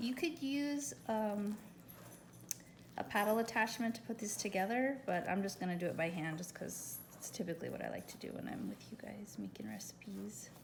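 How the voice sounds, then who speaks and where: Noticeable background noise and audible room echo surround the speaker. A woman talks with lively intonation. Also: medium pitch for a woman, moderate pace. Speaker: home baker, dessert caterer. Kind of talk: cooking tutorial. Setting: home kitchen.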